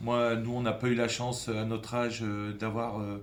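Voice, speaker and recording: Audible room echo surrounds a man speaking at a medium pitch in a monotone, flat way at a fairly slow pace. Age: 60s. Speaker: football academy director, former pro player. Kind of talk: interview. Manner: halting, many hesitations.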